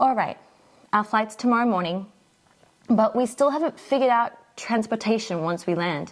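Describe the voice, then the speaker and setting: Pausing long and often, a woman with an Australian accent speaks at a fairly high pitch. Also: ordinary pitch variation, moderate pace. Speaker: English teacher. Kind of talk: scripted dialogue for learners.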